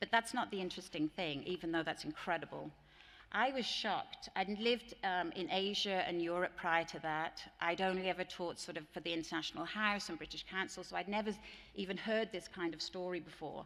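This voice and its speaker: A woman with an English accent at medium pitch, with ordinary pitch variation and a fairly quick pace. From England. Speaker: teacher trainer. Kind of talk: conference plenary talk. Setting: stage with audience.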